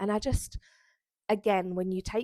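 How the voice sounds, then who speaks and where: In a South East London accent, the voice sounds dry and close with no echo. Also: woman, very clean recording, silent background. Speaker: lifestyle vlogger. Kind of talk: casual chat to camera. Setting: bedroom at home.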